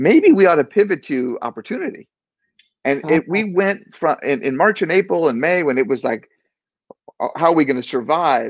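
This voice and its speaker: Fairly high in pitch, a man with an ordinary speaking voice and an American accent speaks at a moderate pace with lively intonation. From Maryland, just outside D.C. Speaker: business executive. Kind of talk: interview.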